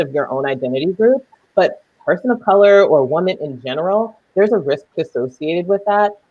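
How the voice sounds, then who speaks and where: Talking at a fairly quick pace, a woman has a fairly low voice with lively intonation. She speaks with a slight Southern US accent. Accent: little Southern accent heard. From US South. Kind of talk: panel discussion.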